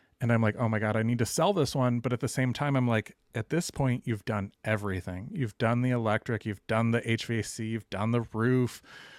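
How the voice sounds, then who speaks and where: An unremarkable speaking voice from a man, medium in pitch, at a fairly quick pace with fairly even intonation, in a dry, close sound with no echo and a very clean recording over a silent background. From Dallas, Texas. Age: 40s. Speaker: real estate investor. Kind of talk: interview.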